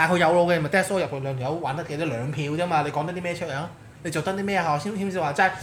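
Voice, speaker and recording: A man's high-pitched voice at a very fast pace, ordinary pitch variation, audible room echo. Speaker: political commentator. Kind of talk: casual chat. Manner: animated.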